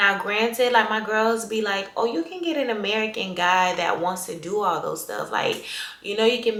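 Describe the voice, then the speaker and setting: Over noticeable background noise and audible room echo, a woman speaks with a Haitian accent. Her tone is animated and her pitch is medium. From Haiti, moved to US at 8. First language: Haitian Creole. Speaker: lifestyle vlogger. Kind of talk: casual chat.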